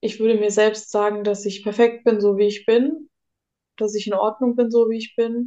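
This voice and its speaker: A woman speaks with a dark, mellow tone at a moderate pace. Her intonation is monotone and flat. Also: fairly high pitch for a woman. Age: 20s. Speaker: guest sharing mental illness experience. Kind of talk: personal testimony interview. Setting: psychiatric inpatient stay.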